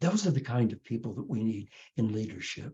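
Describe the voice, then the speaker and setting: A man with a dark, mellow tone sounds somewhat breathy, speaking at a moderate pace with lively intonation. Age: 80s+. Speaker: spiritual teacher. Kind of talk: inspirational talk. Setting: video call. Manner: halting.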